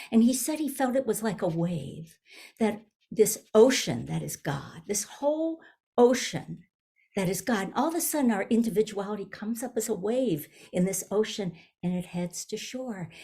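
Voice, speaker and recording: Her voice somewhat breathy and fairly high-pitched, a woman speaks at a moderate pace with lively intonation. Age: 70s. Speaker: minister. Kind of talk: sermon. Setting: video call.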